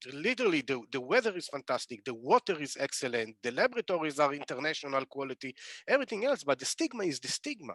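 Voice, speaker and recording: A man speaks at a fairly quick pace with very wide pitch swings. The sound is dry and close, with no echo. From Israel. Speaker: cannabis entrepreneur. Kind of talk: webinar panel discussion.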